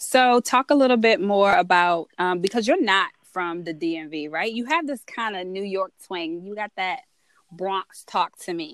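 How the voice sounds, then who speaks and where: A woman with an American accent speaks in an unremarkable speaking voice at medium pitch, fairly slowly, with lively intonation and big swings in loudness, recorded dry and close with no echo. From Southern Maryland, US. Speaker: podcast host. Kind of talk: casual interview chat.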